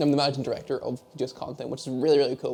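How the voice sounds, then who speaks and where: A man with a Northern Irish accent speaks at a medium pitch. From Northern Ireland, Derry. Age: 20s. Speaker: esports media manager. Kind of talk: casual Q&A monologue. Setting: home office.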